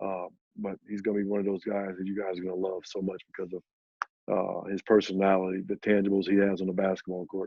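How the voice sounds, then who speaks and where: Speaking at a very fast pace, the man keeps a flat, monotone intonation at a fairly low pitch while his loudness swings widely. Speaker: college basketball head coach. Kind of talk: interview. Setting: video call.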